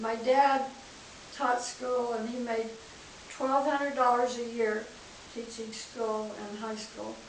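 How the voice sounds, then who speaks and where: In a room with audible echo and noticeable background noise, a woman with an American accent speaks very slowly at a fairly high pitch in a flat monotone, pausing long and often as her loudness swings widely. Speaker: family elder interviewee. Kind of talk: oral history interview.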